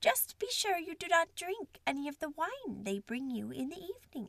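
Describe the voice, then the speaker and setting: A put-on character voice at a moderate pace, swinging very widely in pitch. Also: woman, extremely high pitch for a woman. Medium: read story.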